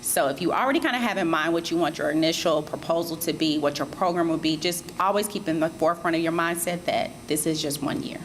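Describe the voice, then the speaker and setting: Rattling along at a very fast pace, a woman with a fairly low voice barely pauses. Noticeable background noise runs underneath. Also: ordinary pitch variation. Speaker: grant program presenter. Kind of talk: public information session presentation.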